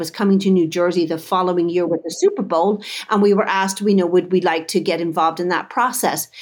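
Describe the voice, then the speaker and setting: A woman speaks with a Dublin accent at medium pitch and with fairly even intonation. The recording is very clean, with a silent background. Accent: Irish (Dublin). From Dublin, Ireland. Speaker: chocolate business owner. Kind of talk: casual interview.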